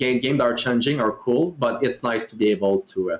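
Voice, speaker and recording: A man with a French Canadian accent at a fairly quick pace, with ordinary pitch variation. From Quebec. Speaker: streamer. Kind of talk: casual chat.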